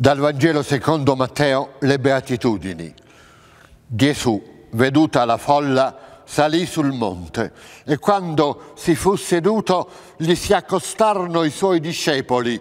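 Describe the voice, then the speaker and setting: Against a quiet background, a man speaks very slowly at a fairly high pitch with lively intonation and very even loudness. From central Italy, Abruzzo. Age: 60s. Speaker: actor. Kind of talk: reading aloud of scripture. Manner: formal. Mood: solemn, measured. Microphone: lapel.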